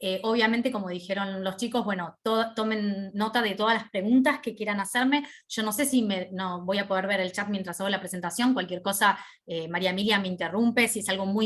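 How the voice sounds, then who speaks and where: A woman talks at a fairly quick pace with fairly even intonation and a medium pitch. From Argentina. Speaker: hospital radiopharmacist, lecturer. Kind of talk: online lecture. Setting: video call. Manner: informal, conversational.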